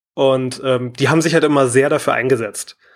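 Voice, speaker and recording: In a very clean recording with a silent background, a man with an unremarkable speaking voice and fairly high pitch talks at a moderate pace. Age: 20s. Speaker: caller, streamer. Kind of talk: personal testimony.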